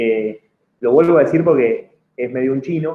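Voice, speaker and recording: A man talks at medium pitch with ordinary pitch variation. His pace is moderate. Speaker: public official. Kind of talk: lecture. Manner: halting, many fillers and repeats.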